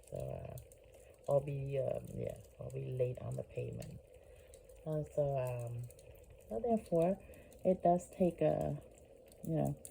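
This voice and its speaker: A woman is soft-spoken and talks at a fairly slow pace. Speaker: vlogger. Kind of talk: casual monologue. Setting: at home at night, family sleeping. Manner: soft-spoken, low voice; halting, many fillers.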